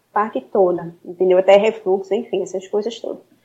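Monotone, flat intonation in a woman's medium-pitched voice with a dark, mellow tone. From Recife, Brazil. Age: 20s. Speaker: nutritionist. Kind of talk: interview.

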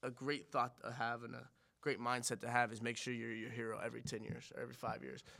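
Vocal fry runs through this man's bright, sharp tone as he speaks at a very fast pace. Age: 20s. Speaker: guest sharing recovery story. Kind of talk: casual chat.

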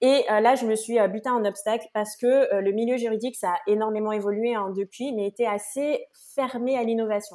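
A woman speaks at a moderate pace with a dark, mellow tone, fairly high pitch and fairly even intonation. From French Guiana. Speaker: entrepreneur, community founder. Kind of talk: podcast interview.

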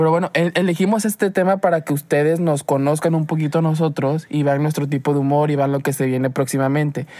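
The pace is fairly quick. Hardly any pauses break the speech. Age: 20s. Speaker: podcast host. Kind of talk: casual chat.

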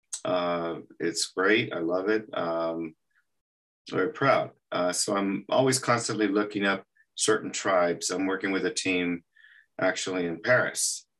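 Over a quiet background, a man with an American accent speaks at a fairly slow pace, his pitch fairly low with ordinary variation. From Texas, El Paso. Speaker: animation artist. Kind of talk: interview. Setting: podcast interview. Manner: halting, many fillers.

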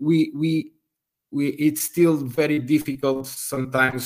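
With a Portuguese accent, a man speaks at a medium pitch with fairly even intonation. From Portugal. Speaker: university professor and aviation researcher. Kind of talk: interview. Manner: halting, many fillers.

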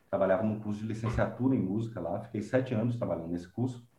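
A somewhat breathy man with fairly even intonation. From Brazil, interior of Bahia. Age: young. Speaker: composer. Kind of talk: interview conversation.

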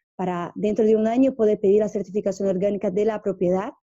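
A woman speaks in a Portuguese accent. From northeast Brazil. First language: Portuguese (speaking Spanish). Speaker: interviewee, small-town organic farming community member. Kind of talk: interview. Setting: at her home. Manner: halting, many repetitions.

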